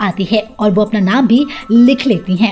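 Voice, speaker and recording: A woman is speaking with ordinary pitch variation. Music plays in the background. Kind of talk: TV news report narration.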